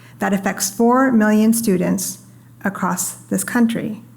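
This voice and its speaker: Audible echo fills the room. The pitch varies in an ordinary way. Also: woman. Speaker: panelist from a free expression organization; parent. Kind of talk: panel discussion. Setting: stage with audience. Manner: soft-spoken.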